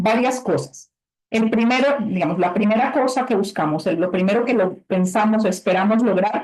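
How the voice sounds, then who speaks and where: A woman speaks in an unremarkable speaking voice at a medium pitch. Her pace is moderate and her intonation lively. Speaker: webinar presenter for conservation grants. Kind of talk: webinar presentation. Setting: video call.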